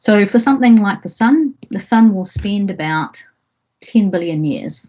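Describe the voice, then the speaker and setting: A woman with a New Zealand accent, somewhat breathy, at a very slow pace with very wide pitch swings. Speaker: astrophysicist, university lecturer. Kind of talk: public science lecture.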